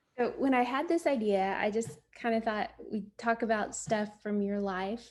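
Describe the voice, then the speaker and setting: Using an ordinary speaking voice, a woman talks fairly high in pitch, her pitch varying in an ordinary way. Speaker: granddaughter interviewer. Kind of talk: casual interview questions over video call.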